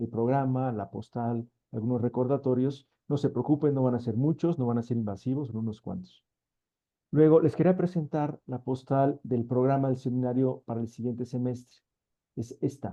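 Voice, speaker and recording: A man talks at a medium pitch. His pitch varies an ordinary amount. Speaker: seminar moderator. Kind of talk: event introduction. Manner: fast.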